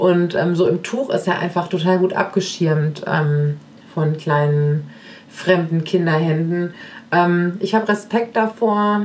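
A woman with a fairly low pitch speaks at a very slow pace, with very even loudness and ordinary pitch variation. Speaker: podcast host and family coach. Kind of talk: casual monologue answering listener questions. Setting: home kitchen, baby in sling. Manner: hesitant with many fillers.

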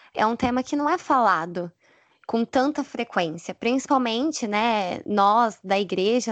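A woman with an unremarkable speaking voice talks at a fairly slow pace with fairly high pitch and lively intonation, her sound dry and close with no echo over a quiet background. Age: 20s. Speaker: educational psychologist and church youth leader. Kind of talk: casual chat.

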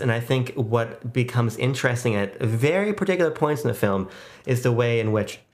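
A man talks at a fairly quick pace with medium pitch, lively intonation and an ordinary speaking voice. The recording is very clean, with a silent background. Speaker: podcast co-host. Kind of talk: casual film discussion.

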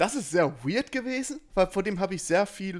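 A man talks at a fairly slow pace, captured in a very clean recording over a silent background. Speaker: podcast co-host. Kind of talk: casual chat. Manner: swallows his greeting words.

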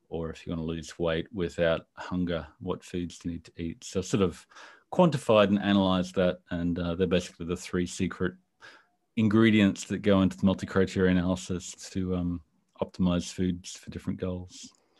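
With an Australian accent, a man talks at a fairly quick pace in a very deep, low voice with monotone, flat intonation, on a very clean recording with a silent background. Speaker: civil engineer and nutrition blogger. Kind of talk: interview.

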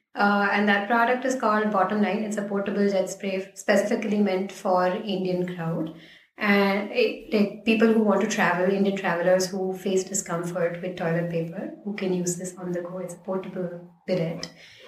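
Speaking at a moderate pace, a woman with a medium pitch keeps her intonation fairly even, with audible room echo and noticeable background noise. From India, Ahmedabad (Gujarat). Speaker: designer, design master's student. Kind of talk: casual interview.

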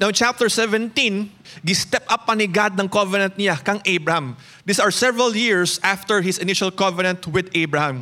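A man projects a raised voice with a bright, sharp tone and high pitch. He talks at a fairly quick pace, with very even loudness and ordinary pitch variation. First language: Cebuano. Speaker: pastor. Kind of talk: sermon. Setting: church.

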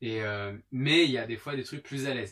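A man talks at a moderate pace in a plain, everyday voice with ordinary pitch variation. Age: 30s. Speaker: stage performer and singer. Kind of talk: casual chat.

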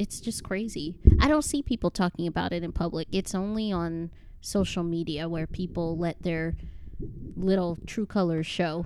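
A woman's fairly low-pitched voice, an ordinary speaking voice, with ordinary pitch variation at a moderate pace. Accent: American. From Chicago, Illinois. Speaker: podcast co-host, mother, aspiring novelist. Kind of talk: casual chat.

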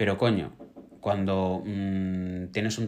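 The speaker is a man with a fairly low pitch. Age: 30s. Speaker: podcast co-host, drag performer. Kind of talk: casual chat. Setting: live stream recording.

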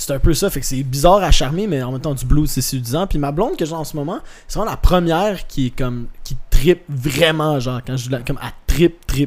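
In an ordinary speaking voice, a man talks at a fairly high pitch and a fairly quick pace with hardly any pauses, ordinary pitch variation and big swings in loudness. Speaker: actor, musician and comedian. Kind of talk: casual chat.

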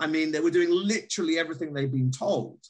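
A man with a British accent speaks in a somewhat breathy voice. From Britain. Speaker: pastor and author. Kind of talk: interview.

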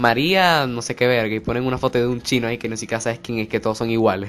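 Talking at a very fast pace, a man uses a medium pitch with a Venezuelan accent. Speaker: podcast host. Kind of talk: casual chat interview.

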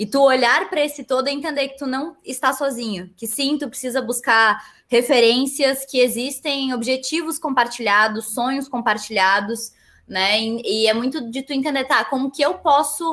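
Her voice sits high for a woman, with ordinary pitch variation and a moderate pace. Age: 20s. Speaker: business student and federation president. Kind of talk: podcast interview.

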